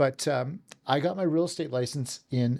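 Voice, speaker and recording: On a very clean recording with a silent background, the speaker has a Western Canadian accent, a moderate pace and ordinary pitch variation. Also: man. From Canada, southern Alberta. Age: 60s. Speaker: real estate team leader. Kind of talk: podcast interview. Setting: office.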